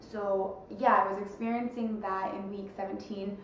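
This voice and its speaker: A woman speaks fairly slowly amid noticeable background noise, her voice carrying audible room echo. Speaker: vlogger. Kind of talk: casual vlog update.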